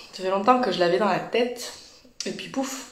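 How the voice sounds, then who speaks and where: Through room echo and clear background noise, a woman's voice comes across. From Toulouse region, southern France. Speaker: energy healer and journalist hosting live interviews. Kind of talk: livestream intro, casual. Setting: Instagram live. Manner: animated, many hesitations.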